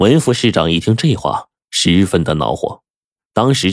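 The background stays quiet. Someone does plain reading aloud with lively intonation.

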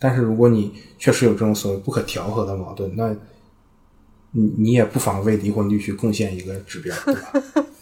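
Fairly quick and somewhat breathy, a man speaks with a dark, mellow tone. His pitch is fairly low and his intonation fairly even. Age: 20s. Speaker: product manager, podcast editor. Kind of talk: casual discussion.

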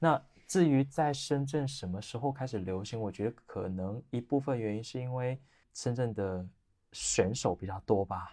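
Over a silent background in a very clean recording, a man with a dark, mellow tone speaks at a moderate pace in a medium pitch with ordinary pitch variation. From Shenzhen, China. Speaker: barista champion. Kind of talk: casual chat.

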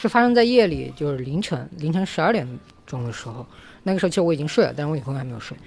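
Very fast and somewhat breathy, a man talks with a fairly high pitch and very wide pitch swings. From Hubei, China. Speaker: intern who worked in New Zealand. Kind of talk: casual chat.

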